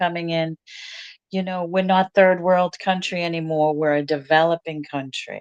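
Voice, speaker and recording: In an American accent, the speaker has an ordinary speaking voice, with a dry, close sound and no echo. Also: woman. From US Northeast, Boston. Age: 60s. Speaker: resort owner and real estate agent. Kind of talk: interview. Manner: casual, conversational.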